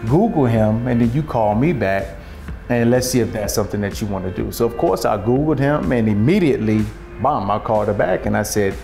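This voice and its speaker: A man at a moderate pace over faint music in the background. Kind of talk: interview answer. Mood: upbeat, amused storytelling. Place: kitchen.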